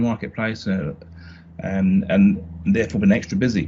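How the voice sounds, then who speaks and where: A man with a British accent, a fairly low pitch and ordinary pitch variation. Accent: British accent, noticeable. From UK. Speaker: marketing consultant. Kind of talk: podcast interview. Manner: halting, many fillers and restarts.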